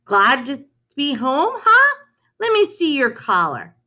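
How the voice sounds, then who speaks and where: A woman speaks in a put-on character voice at a fairly slow pace. Her pitch is high. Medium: read story. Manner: warm, easygoing.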